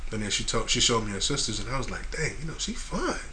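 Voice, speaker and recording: A man's voice with audible room echo. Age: 20s. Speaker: podcast host. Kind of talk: casual chat.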